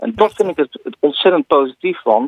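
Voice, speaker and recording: A man talks with very wide pitch swings. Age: 40s. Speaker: tech columnist, social media expert. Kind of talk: radio column discussion.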